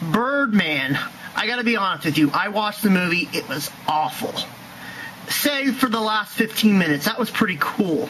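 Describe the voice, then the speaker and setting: Over noticeable background noise, a high-pitched man speaks at a moderate pace in a raised, projected voice. His tone is angry, with lively intonation. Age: 20s. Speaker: YouTube vlogger. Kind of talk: angry rant to camera. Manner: angry, loud.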